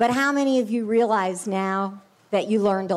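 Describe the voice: Plain reading aloud, pitch moving in an ordinary way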